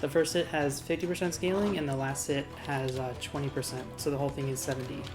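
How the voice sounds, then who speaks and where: A woman's very deep, low voice at a very fast pace, with ordinary pitch variation and music in the background. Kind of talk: game tutorial commentary. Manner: a bit mumbly; casual, hesitant with fillers.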